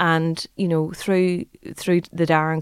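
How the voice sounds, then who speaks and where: A woman with an Irish accent, fairly low in pitch, at a moderate pace, in a dry, close sound with no echo and a very clean recording with a silent background. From Ireland. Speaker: startup CEO. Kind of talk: casual interview. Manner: animated.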